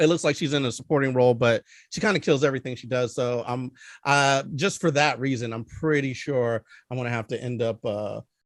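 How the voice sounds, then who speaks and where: Man with a strong Philadelphia accent at medium pitch, fairly quick pace and ordinary pitch variation, in a dry, close sound with no echo on a very clean recording with a silent background. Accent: thick Philadelphia. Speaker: film review show host. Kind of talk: casual chat.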